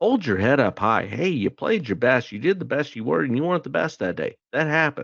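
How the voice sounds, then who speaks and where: An animated man with a medium pitch and vocal fry talks at a fairly quick pace with hardly any pauses. His pitch swings very widely. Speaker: sports podcast host. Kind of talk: casual chat. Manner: loud.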